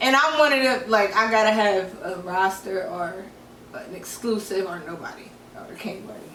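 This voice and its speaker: Noticeable background noise and audible room echo behind a moderate pace, lively intonation and big swings in loudness. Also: woman, medium pitch for a woman. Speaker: podcast co-host. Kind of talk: casual chat.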